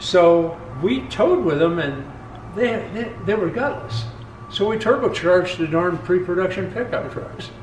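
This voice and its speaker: Over music in the background and audible room echo, a man with a high pitch talks at a moderate pace with lively intonation. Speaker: company founder and engine builder. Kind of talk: facility tour conversation.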